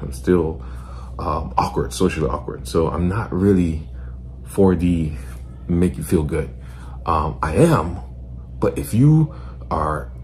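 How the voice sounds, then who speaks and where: A man speaks fairly slowly in a very deep, low voice with lively intonation. Audible room echo and noticeable background noise surround him. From Nigeria. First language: a Nigerian language. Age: 20s. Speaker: commentator. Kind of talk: reaction commentary. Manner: blunt.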